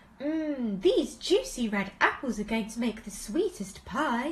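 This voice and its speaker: A put-on character voice from a high-pitched woman at a fairly slow pace, against clear background noise. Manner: happy.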